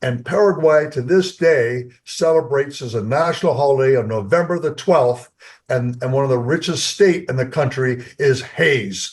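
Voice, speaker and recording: A man speaks at a moderate pace with hardly any pauses, his voice fairly high and somewhat breathy. His pitch varies in an ordinary way. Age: 70s. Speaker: company co-founder. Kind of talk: interview. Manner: halting.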